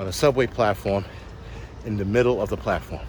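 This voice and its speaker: Over noticeable background noise, a man with a New York accent talks at a fairly quick pace in an animated tone. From New York City. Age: 40s. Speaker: podcast host, prepper. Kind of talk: solo rant monologue.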